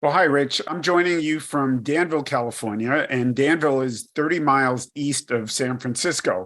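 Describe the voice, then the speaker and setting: A fairly high-voiced man with a New York accent speaks at a moderate pace with hardly any pauses and ordinary pitch variation, on a very clean recording with a silent background. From New York, Brooklyn. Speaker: credit risk executive. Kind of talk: podcast interview.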